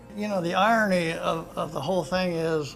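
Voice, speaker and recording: A man talks at a moderate pace. Behind him, music is playing. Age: 70s. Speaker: retired airline captain and pilot. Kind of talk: interview answer.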